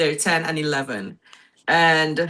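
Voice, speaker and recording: Bright and sharp in tone, a woman speaks with a Trinidadian accent at a fairly low pitch. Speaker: guest, mother and business owner. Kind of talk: talk show interview.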